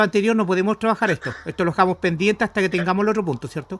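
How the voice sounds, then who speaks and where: Here a man speaks at a high pitch and a very fast pace with ordinary pitch variation. The sound is dry and close, with no echo. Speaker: student. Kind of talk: thesis feedback discussion.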